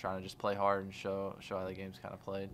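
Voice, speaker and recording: Light background noise sits behind a man's voice. He speaks in a fairly low pitch with monotone, flat intonation. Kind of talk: interview answer. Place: room. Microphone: studio mic.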